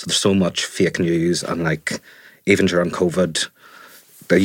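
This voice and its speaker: A man with a very deep, low pitch talks at a fairly quick pace in a monotone, flat delivery. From Northern Ireland, Fermanagh. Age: 30s. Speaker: journalist. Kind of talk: casual chat. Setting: studio.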